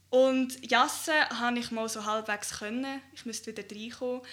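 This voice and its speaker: A woman's fairly high pitch and bright, sharp tone at a moderate pace, with fairly even intonation. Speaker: youth party podcast host. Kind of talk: casual chat.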